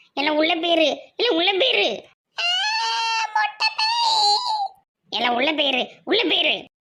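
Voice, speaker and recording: A woman's cartoonish character voice at an extremely high pitch, with very wide pitch swings and a very slow pace. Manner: hesitant, bewildered.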